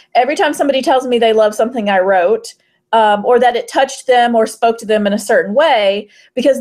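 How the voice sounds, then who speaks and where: A woman's normal speaking voice, fairly high-pitched, at a fairly quick pace with ordinary pitch variation, on a very clean recording with a silent background. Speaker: fantasy romance author and podcast panelist. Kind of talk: casual panel discussion.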